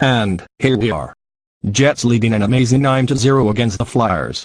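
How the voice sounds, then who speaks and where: A growling, put-on character voice from a man, medium in pitch, at a moderate pace over a quiet background. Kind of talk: parody TV reporter. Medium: comedy sketch.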